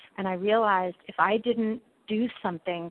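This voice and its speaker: A woman speaks at a medium pitch with an American accent. Her intonation is monotone and flat. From New York City. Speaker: PR firm founder. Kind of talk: interview.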